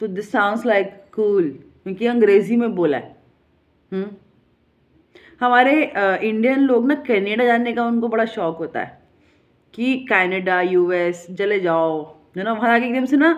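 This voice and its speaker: A woman with a fairly high pitch and an animated tone, fairly slow, with long, frequent pauses against a quiet background. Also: lively intonation. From India. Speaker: vlogger. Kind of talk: casual monologue. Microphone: phone near.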